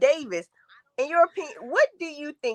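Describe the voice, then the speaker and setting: A woman talks at a fairly quick pace with very wide pitch swings, in a dry, close sound with no echo. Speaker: TV show discussion panelist. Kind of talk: casual chat. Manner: fast.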